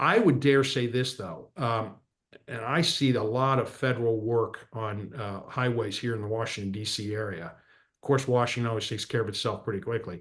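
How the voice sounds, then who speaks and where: In an ordinary speaking voice, a man with a medium pitch talks at a moderate pace with ordinary pitch variation against a quiet background. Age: 60s. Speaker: political and economic commentator.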